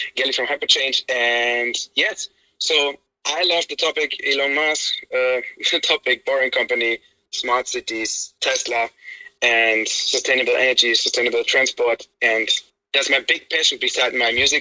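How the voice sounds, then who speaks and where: A man with a non-native accent is recorded with a dry, close sound and no echo. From Spain. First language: Spanish. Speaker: singer and tech enthusiast. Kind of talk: casual chat. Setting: audio chat room app.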